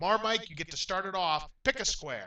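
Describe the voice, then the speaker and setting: A man talks in a raised, projected voice with a bright, sharp tone. His pitch is high and his pace is moderate. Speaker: game show host. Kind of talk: game show hosting.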